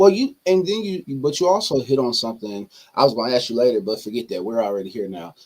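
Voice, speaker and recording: At a very fast pace, a man speaks at a medium pitch with very wide pitch swings. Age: young. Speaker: pastor. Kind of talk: interview.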